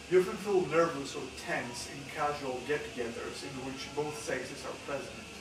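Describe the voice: Speaking at a moderate pace, a man uses medium pitch with ordinary pitch variation. Background noise is clear and room echo is audible.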